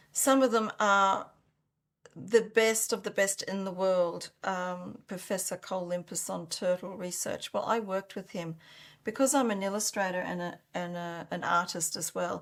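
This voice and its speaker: In an Australian accent, a woman speaks at a moderate pace and medium pitch. Her intonation is fairly even, and the recording is very clean with a silent background. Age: 60s. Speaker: founder of an organic soil improver company. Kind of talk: interview.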